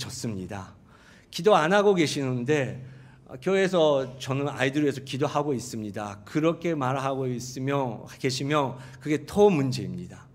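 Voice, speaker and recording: A man with a Japanese accent speaks at a moderate pace and medium pitch with lively intonation, and audible room echo surrounds him. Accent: Japanese accent in Korean. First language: Japanese (speaking Korean). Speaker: pastor. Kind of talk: sermon. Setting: church. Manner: halting.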